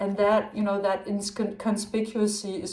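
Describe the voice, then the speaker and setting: A woman with a Danish accent, medium in pitch, at a fairly slow pace. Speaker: tarot reader. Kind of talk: tarot reading. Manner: halting.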